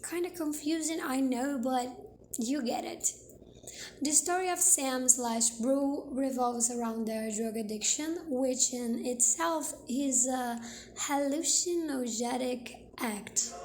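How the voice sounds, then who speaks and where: Speaking at a very slow pace with a Brazilian Portuguese accent, a woman with a high pitch is heard amid audible room echo and noticeable background noise. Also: ordinary pitch variation. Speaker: video essayist. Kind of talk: video essay narration.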